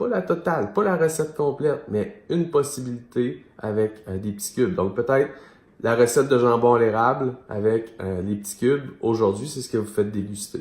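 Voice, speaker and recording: Somewhat breathy man in a Quebec accent, medium pitch, lively intonation, moderate pace. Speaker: business mentor for entrepreneurs. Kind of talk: video monologue / coaching talk. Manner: casual, many fillers.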